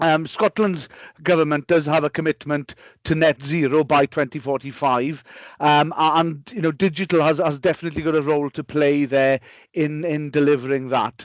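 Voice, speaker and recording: A man's fairly high voice with a Welsh accent, fairly even intonation and a moderate pace. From Wales. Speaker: digital technology consultant. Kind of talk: webinar presentation. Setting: online webinar. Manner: halting, many fillers.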